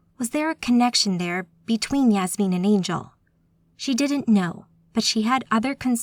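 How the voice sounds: The clip carries a natural reading voice.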